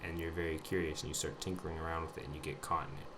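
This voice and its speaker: A man's very deep, low voice in monotone, flat intonation, with audible room echo. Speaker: vlogger sharing personal recovery journey. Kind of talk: personal testimony monologue. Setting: audio recording at home computer. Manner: halting, many fillers.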